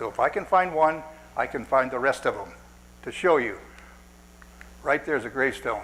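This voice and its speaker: A man talks at a fairly quick pace, his pitch varying in an ordinary way. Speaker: cemetery restorer giving a lecture. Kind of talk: lecture. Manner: fast when excited.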